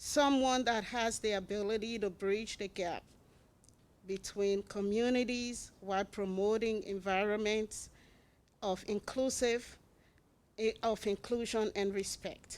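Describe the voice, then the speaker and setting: Using fairly even intonation, a woman with an African accent speaks at a fairly high pitch and a fairly slow pace. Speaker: public commenter at school board meeting. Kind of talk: public comment speech. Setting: school board meeting.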